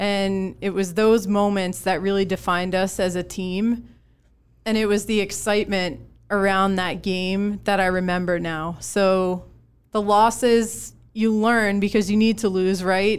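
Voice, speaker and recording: A woman with an American accent speaks at a medium pitch. Her intonation is monotone and flat. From Connecticut. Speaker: former college softball player, company employee. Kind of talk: casual panel chat. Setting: studio.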